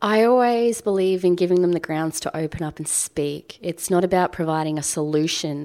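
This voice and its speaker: A woman's dark, mellow tone with an Australian accent at a moderate pace, on a very clean recording with a silent background. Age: 20s. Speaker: blogger and mother. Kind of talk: casual chat. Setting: home kitchen.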